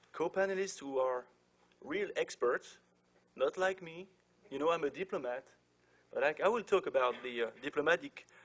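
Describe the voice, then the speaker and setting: A speaker with a French accent talks at a moderate pace with lively intonation, broken up by long, frequent pauses. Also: man, high pitch for a man. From France. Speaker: diplomat moderating a panel. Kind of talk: panel introduction. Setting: conference with audience. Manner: hesitant, many fillers.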